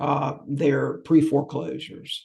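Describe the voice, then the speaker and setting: His voice sits fairly high for a man and carries a dark, mellow tone. There is a somewhat breathy quality to how this man speaks. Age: 60s. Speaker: real estate investor. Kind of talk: interview. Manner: halting.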